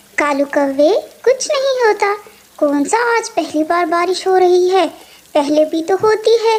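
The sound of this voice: A woman speaks in a cartoonish character voice with an extremely high pitch. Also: moderate pace, lively intonation, very even loudness.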